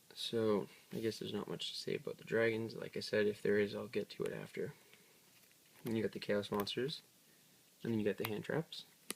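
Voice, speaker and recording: A quiet man at a fairly quick pace, with long, frequent pauses. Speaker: card game youtuber. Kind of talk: deck profile tutorial. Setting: at home. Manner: hesitant, many fillers.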